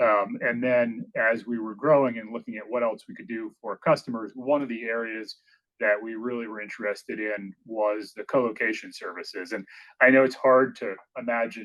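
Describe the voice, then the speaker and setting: A man with a New England accent speaks at a medium pitch and a moderate pace, his intonation fairly even. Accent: New England American. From Maine, US Northeast. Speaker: business executive. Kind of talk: podcast interview. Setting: company headquarters office.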